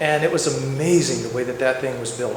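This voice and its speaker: Audible room echo and noticeable background noise surround a man's voice. He speaks at a fairly quick pace with fairly even intonation. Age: 60s. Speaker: eulogy speaker at a memorial. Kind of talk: eulogy. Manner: halting, many repetitions and restarts.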